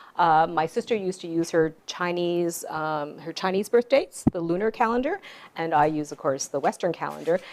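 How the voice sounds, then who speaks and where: A woman with a Canadian accent speaks at a moderate pace in an ordinary speaking voice. Her pitch is fairly low, with ordinary variation. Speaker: author. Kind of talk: storytelling talk.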